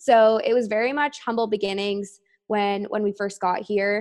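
A woman's ordinary speaking voice with a Canadian accent, medium pitch, fairly even intonation and a moderate pace. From Canada, Toronto. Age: 20s. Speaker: brand marketing professional. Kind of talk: casual interview chat.

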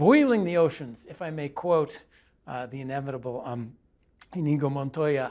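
A man with an ordinary speaking voice shows ordinary pitch variation and big swings in loudness. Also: fairly high pitch for a man, moderate pace. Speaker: economist and panelist. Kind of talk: panel discussion. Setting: studio.

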